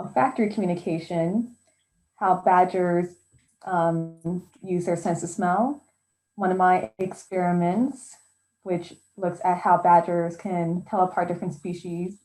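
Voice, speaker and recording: A woman with an American accent speaks at a fairly low pitch with a dark, mellow tone. Her pace is fairly slow and her intonation fairly even. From US Pacific Northwest, Tacoma, Washington. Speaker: zoologist. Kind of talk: talk with slides. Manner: casual with frequent fillers.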